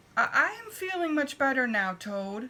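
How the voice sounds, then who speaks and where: A woman speaks at a moderate pace in a put-on character voice, high-pitched and raised to project, with very wide swings in pitch. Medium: read story.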